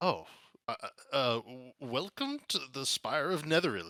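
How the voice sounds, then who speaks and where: Using a put-on character voice, a man talks at a fairly slow pace with fairly high pitch. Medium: actual play. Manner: courteous, genteel.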